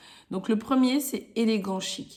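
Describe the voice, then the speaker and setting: A woman speaks at a fairly slow pace in a fairly high, somewhat breathy voice. Her intonation is lively. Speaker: podcast host, style coach for women entrepreneurs. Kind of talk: casual tutorial podcast. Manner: casual, hesitant with fillers.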